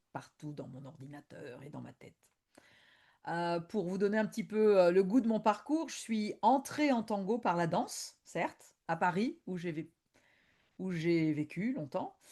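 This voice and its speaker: A woman speaks in an Argentine accent with a dark, mellow tone and very wide pitch swings. The background is quiet. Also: medium pitch for a woman, fairly slow pace. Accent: Argentine-tinged French. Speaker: tango historian and lecturer. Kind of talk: online presentation. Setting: video conference. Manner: hesitant, many fillers.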